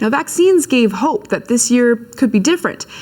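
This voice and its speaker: A woman talks with lively intonation at a moderate pace over noticeable background noise. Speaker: TV news anchor. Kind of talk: TV news read.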